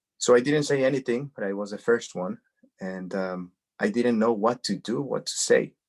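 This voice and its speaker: A man with a Spanish accent, medium in pitch, in a dry, close sound with no echo. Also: ordinary pitch variation, moderate pace. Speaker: cancer advocate. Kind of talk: interview, personal testimony. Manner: halting, many repetitions.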